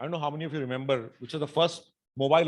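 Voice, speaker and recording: A man with fairly high pitch at a very fast pace. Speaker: tech nonprofit leader presenting to community. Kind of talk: presentation talk.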